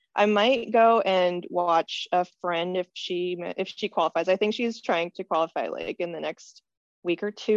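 A woman speaks in a normal speaking voice at a moderate pace. Her pitch varies in an ordinary way. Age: 20s. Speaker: weightlifter and biomedical engineer. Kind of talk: interview.

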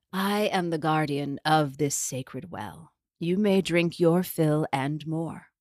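A gravelly, put-on character voice sits at a middle pitch and moves at a fairly slow pace. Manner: croaking.

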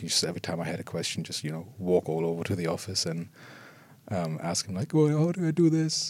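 With a German accent and lively intonation, a man speaks fairly quickly at a very deep, low pitch. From Germany. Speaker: visual effects artist. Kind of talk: interview.

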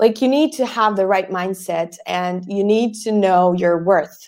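Speaking in a Bosnian accent, a woman talks at a fairly slow pace with a medium pitch. Her pitch varies in an ordinary way on a very clean recording with a silent background. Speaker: podcast agency founder. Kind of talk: interview.

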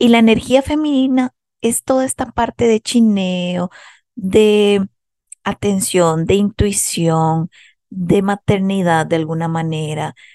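A very slow, lively-intoned voice with a Costa Rican accent, dark and mellow in tone, in a dry, close recording without echo. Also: woman, medium pitch for a woman. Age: 30s. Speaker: psychologist and podcast host. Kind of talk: self-help monologue.

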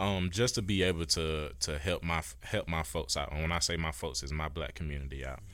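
A man with a very deep, low voice and vocal fry talks at a fairly quick pace with hardly any pauses and ordinary pitch variation. The recording is very clean, with a silent background. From Georgia, Warner Robins. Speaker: student government president. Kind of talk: interview.

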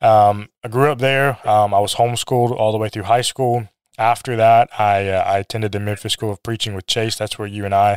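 Delivered at a fairly quick pace in a flat monotone, this clip is a very clean recording with a silent background. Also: man, dry, close sound with no echo. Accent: American. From US Midwest (Minnesota, Missouri). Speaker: associate minister. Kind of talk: interview about preaching. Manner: hesitant with many fillers.

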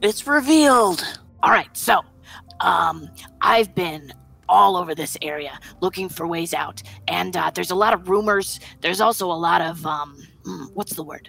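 Faint music plays behind a raspy, put-on character voice at middle pitch, moving at a moderate pace with long, frequent pauses. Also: female-sounding voice. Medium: actual play. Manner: rambling, laid-back.

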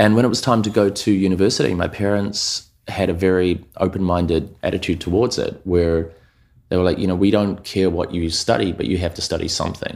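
A man with a New Zealand accent and a very deep, low pitch speaks with fairly even intonation in a very clean recording against a silent background. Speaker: commercial and music video director. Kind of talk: casual interview chat.

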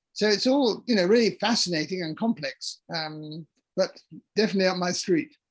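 A high-pitched man with a southern English accent, at a moderate pace with ordinary pitch variation. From London, England. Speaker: author and retired English professor. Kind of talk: interview.

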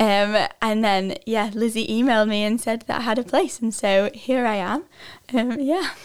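A woman with a British accent, fairly high in pitch with ordinary pitch variation, at a moderate pace. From northwest England, near Lancaster. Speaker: Bible school student. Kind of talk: testimony.

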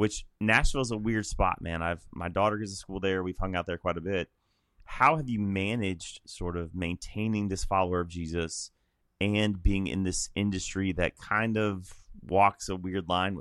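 Very deep and low in pitch, a man speaks with an American accent at a moderate pace and fairly even intonation. The recording is very clean with a silent background and a dry, close sound with no echo. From Illinois. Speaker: podcast host, pastor. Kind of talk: casual chat.

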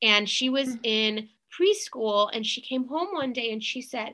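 Against a quiet background, a woman speaks with a raised, projected voice, high in pitch with a bright, sharp tone. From US Midwest, St. Louis, Missouri. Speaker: law lecturer and attorney. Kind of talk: interview.

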